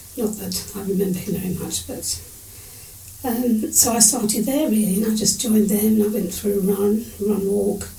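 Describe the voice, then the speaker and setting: Over noticeable background noise and audible room echo, a woman speaks at medium pitch and a moderate pace with fairly even intonation. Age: 70s. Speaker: age-group triathlete. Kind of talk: interview storytelling. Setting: at home, face-to-face interview.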